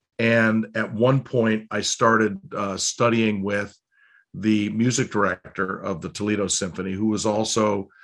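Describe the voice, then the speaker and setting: A man with an American accent talks over a quiet background. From Cleveland, Ohio (US Midwest). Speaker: choral conductor and arts director. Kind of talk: interview. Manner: halting, with many fillers.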